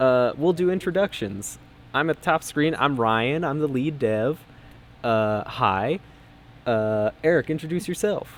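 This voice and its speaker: A man with a fairly high pitch speaks with lively intonation. His pace is fairly slow. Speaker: game developer, stream host. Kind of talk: casual live stream chat. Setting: live stream with team on Discord. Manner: loud.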